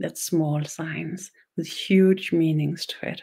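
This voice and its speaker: A woman speaks with a Danish accent in a dark, mellow tone. She moves at a fairly slow pace with fairly even intonation. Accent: Danish accent, noticeable. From Denmark. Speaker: spiritual teacher, shaman. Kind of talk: online webinar ceremony, spiritual teaching. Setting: online webinar. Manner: slow, simple speech; halting, repeats words.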